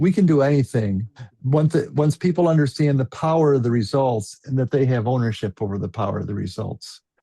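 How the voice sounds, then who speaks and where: A man speaks at a medium pitch with ordinary pitch variation and a dark, mellow tone. His voice is somewhat breathy, and the sound is dry and close with no echo. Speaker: panel moderator. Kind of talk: panel discussion. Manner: fast; animated.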